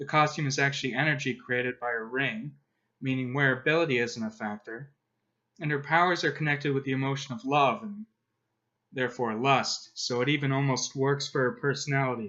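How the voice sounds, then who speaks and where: Here a man talks fairly quickly at a fairly high pitch. He has a plain, everyday voice with ordinary pitch variation. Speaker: comics commentator. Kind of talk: video essay narration.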